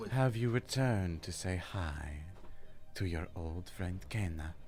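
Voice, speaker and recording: A soft-spoken man in a put-on character voice, very deep and low in pitch, at a fairly slow pace, with clear background noise. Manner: soft, eerie, welcoming.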